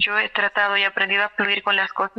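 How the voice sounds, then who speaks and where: This woman speaks at a medium pitch. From Peru, Cusco. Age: 30s. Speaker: dentist. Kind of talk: testimony.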